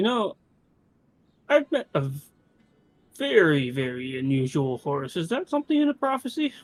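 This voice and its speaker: A put-on character voice at a middle pitch, with very wide pitch swings, a moderate pace and long, frequent pauses. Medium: actual play. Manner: rambling, stammering.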